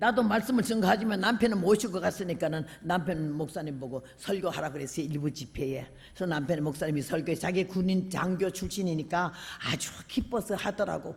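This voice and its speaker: Speaking at a fairly quick pace, a woman with a fairly low pitch uses lively intonation. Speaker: preacher. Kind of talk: sermon. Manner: animated.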